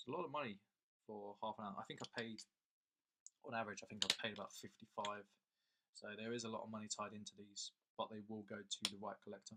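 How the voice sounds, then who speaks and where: Someone with an English accent speaks at a very fast pace in a bright, sharp tone, broken by long, frequent pauses. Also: man, fairly low pitch for a man, fairly even intonation. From England. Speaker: coin dealer and collector. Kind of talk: casual video talk. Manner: casual, with repeated words.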